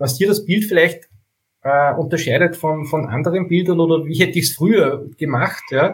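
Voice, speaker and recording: The man's pitch is fairly high with ordinary variation, and his pace is fairly slow. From Upper Austria (Steyr). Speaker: bike photographer. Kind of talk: casual interview.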